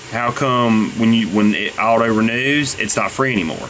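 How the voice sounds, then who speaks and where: A man speaks at a medium pitch with ordinary pitch variation, and the recording has audible room echo and noticeable background noise. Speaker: YouTuber selling on eBay. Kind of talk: screen-recorded rant tutorial. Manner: halting, many fillers and repeats.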